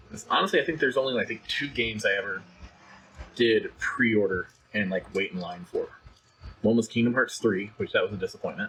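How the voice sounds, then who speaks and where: Very fast talking from a man, noticeable background noise behind him. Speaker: tech channel co-host. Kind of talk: casual chat. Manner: soft-spoken at times.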